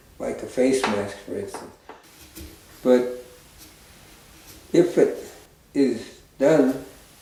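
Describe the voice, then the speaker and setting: A man at a very slow pace, with long, frequent pauses, big swings in loudness and noticeable background noise. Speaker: master carver. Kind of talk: documentary interview.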